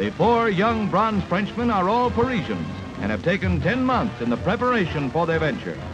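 An American accent at a fairly quick pace, with clear music in the background. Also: man. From United States. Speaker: newsreel narrator. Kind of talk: 1940s newsreel narration. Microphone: old recording.

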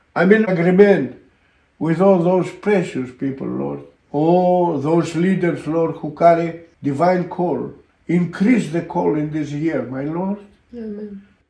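Against a quiet background with audible room echo, a man with a high-pitched voice and a dark, mellow tone speaks at a fairly slow pace with ordinary pitch variation. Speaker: pastor. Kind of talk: fervent spoken prayer. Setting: online broadcast. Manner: impassioned, stacking urgent commands and repeated 'my Lord'; punctuated by ecstatic interjections of hallelujah and amen. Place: home room.

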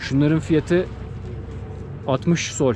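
A man speaks with ordinary pitch variation in a dry sound with no echo, noticeable background noise behind him. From Turkey. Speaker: travel vlogger. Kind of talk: travel vlog narration. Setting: outdoors. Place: shop. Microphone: phone near.

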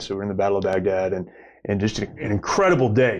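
Talking very fast, a man keeps his pitch fairly low. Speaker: podcast host, nonprofit director. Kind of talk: interview. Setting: studio. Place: studio. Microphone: lapel.

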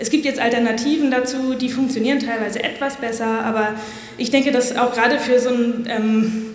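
Woman at fairly high pitch, with fairly even intonation and a fairly quick pace, in audible room echo.

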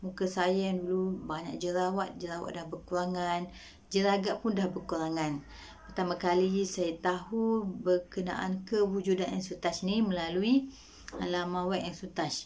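A woman at a fairly slow pace, medium-pitched, with monotone, flat intonation. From Malaysia, Kelantan; Malaysia. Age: 30s. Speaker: nurse giving a product testimonial. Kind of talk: product testimonial. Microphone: webcam.

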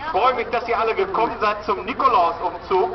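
A man speaks while noticeable background noise can be heard. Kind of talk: public welcome speech. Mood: warm, cheerful. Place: market. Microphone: pa.

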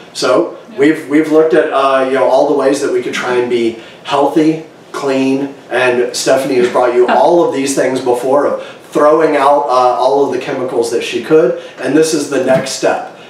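A man at a moderate pace with fairly even intonation, with audible room echo. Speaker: home vlogger. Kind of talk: casual vlog chat. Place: kitchen.

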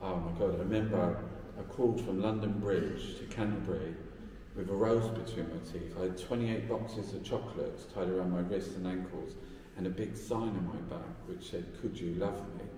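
A man speaks at a moderate pace with fairly low pitch and ordinary pitch variation. Light background noise and audible room echo are present. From London, Peckham. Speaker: artist. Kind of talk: interview. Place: hall. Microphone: phone near.

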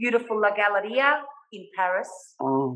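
At a moderate pace and medium pitch, a woman speaks with an Australian accent over a quiet background. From Australia (Melbourne). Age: 50s. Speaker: artist; guest. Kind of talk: casual interview. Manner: animated. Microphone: video call.

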